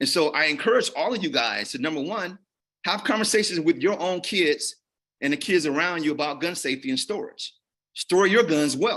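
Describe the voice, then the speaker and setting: Here is a man with an American accent and a bright, sharp tone, pitched high. He talks at a fairly quick pace with lively intonation. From Gary, Indiana. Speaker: physician and violence prevention presenter. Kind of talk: panel talk.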